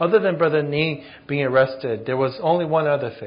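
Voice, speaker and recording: A man speaks in an unremarkable speaking voice at a fairly high pitch. His pace is moderate and his pitch variation ordinary. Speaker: interpreter. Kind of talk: consecutive interpretation. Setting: church.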